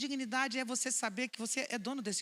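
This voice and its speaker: A woman speaks in a bright, sharp tone with ordinary pitch variation. Her delivery is animated. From Brazil, Vitória, Espírito Santo. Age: 60s. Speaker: philosopher and speaker. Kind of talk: public talk to an audience. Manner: animated, conversational.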